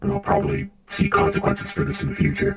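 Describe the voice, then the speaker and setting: A man in a put-on character voice. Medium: game stream. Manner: hesitant, filler-heavy, measured.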